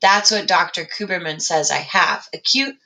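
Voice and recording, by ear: Someone is reading aloud in a natural voice.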